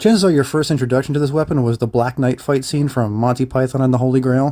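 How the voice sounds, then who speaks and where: Very fast and very even in loudness, a man's dark, mellow voice of medium pitch keeps fairly even intonation. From United States. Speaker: historical fencing youtuber. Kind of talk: video essay narration. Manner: casual.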